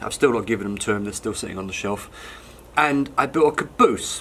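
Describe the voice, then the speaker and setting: The speaker talks at a moderate pace, using ordinary pitch variation. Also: man. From London, England. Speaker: hobbyist model wagon maker. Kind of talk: casual show-and-tell video. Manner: relaxed, conversational with many ums.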